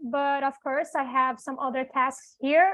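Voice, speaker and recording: This woman has a Portuguese accent and a high pitch. She speaks at a moderate pace with fairly even intonation. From Brazil. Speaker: executive assistant. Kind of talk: self-introduction.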